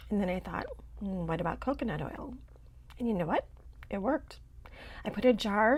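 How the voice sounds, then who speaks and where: Speaking at a medium pitch, a woman's voice carries vocal fry. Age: 60s. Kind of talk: casual talk to camera. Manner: wry, humorous.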